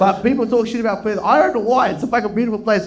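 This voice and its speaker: A man with an Australian accent speaks very fast in an animated tone at a high pitch. Audible room echo carries his voice. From Indian heritage, Melbourne. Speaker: stand-up comedian. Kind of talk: stand-up. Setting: stage with audience.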